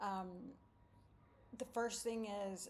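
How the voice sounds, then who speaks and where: A woman with an American accent speaks at a moderate pace with fairly even intonation. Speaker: deported vlogger. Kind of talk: casual monologue. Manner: halting, many fillers.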